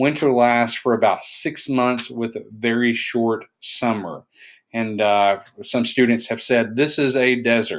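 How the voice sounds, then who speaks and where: With an East Tennessee accent, a man talks at a fairly slow pace. His intonation is fairly even, and the recording is very clean with a silent background. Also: medium pitch for a man. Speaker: science teacher. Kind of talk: recorded lecture. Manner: halting.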